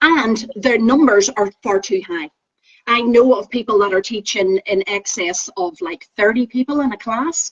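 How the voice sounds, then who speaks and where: In a dry, close recording with no echo, the speaker talks at a fairly slow pace with a Northern Irish accent. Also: woman, fairly high pitch for a woman, ordinary pitch variation. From Northern Ireland. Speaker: Pilates teacher trainer. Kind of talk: casual chat.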